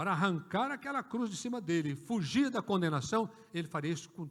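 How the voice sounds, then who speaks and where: This man's pitch swings very widely as he speaks. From rural Brazil. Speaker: pastor. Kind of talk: sermon. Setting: church. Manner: animated.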